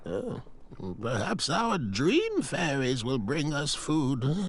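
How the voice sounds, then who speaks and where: A put-on character voice from a man at a fairly high pitch, very slow pace, and clear background noise. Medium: video game. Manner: chirpy, whimsical.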